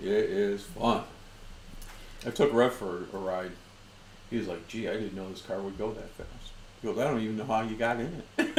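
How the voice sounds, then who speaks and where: At a moderate pace and fairly low pitch, a man speaks with ordinary pitch variation and long, frequent pauses, with audible room echo. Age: 60s. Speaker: whiskey show host. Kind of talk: casual chat.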